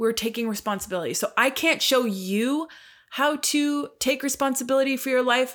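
A woman with a Canadian accent has an unremarkable speaking voice, ordinary pitch variation, and a moderate pace. The recording is very clean, with a silent background. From Canada. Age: 40s. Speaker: podcast host and life coach. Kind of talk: solo monologue podcast.

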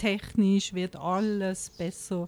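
The speaker is a woman. Her pitch is medium. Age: 50s. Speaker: diabetic patient and author. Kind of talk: interview.

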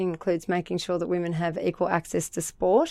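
A woman with an Australian accent speaks at medium pitch on a very clean recording with a silent background. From Australia, New South Wales Central Coast. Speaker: political candidate. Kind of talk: interview.

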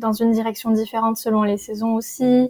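Her fairly high-pitched voice carries monotone, flat intonation as the woman speaks. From southern France, Perpignan. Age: 20s. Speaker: tea brand founder. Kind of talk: casual interview.

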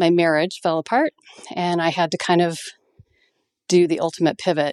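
A woman speaks in a plain, everyday voice at a fairly low pitch and moderate pace. The sound is dry and close, with no echo. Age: 50s. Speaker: veterinarian and practice owner. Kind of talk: interview.

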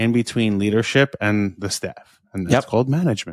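On a very clean recording with a silent background, a man speaks in an ordinary speaking voice at medium pitch with ordinary pitch variation. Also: dry, close sound with no echo. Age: 40s. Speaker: business coach. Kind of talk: casual chat.

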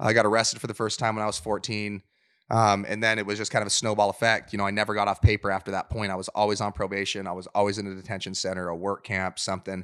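A man with an American accent speaks at a very fast pace with fairly low pitch and monotone, flat intonation, in a dry, close sound with no echo on a very clean recording with a silent background. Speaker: professional MMA fighter. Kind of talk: podcast interview, personal life story. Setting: in-person interview in Las Vegas.

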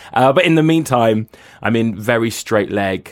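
The recording is very clean with a silent background, and the speaker's intonation is lively. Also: man. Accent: British. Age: 30s. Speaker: writer and cultural critic. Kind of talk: interview. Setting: studio booth.

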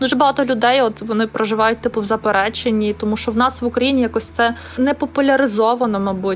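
Over noticeable background noise, a woman talks at a very fast pace with very even loudness and fairly even intonation. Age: 30s. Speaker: interviewee sharing a depression story. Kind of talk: personal testimony.

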